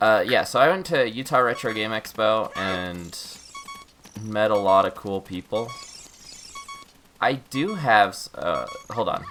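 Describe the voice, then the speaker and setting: A quiet man at a fairly slow pace, music in the background. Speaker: video game streamer. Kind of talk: live gameplay stream chat. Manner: halting.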